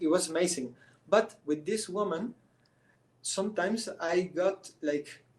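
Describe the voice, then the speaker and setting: In a Spanish accent, a man with a high pitch talks at a fairly slow pace with long, frequent pauses. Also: ordinary pitch variation. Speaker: artist. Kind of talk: interview. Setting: live stream. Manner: halting, many restarts.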